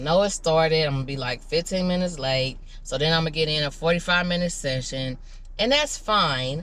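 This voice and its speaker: A woman with a fairly low pitch speaks at a fairly quick pace in an animated tone. Her pitch varies in an ordinary way, and there is audible room echo. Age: 30s. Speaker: vlogger. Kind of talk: casual vlog monologue. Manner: animated, chatty.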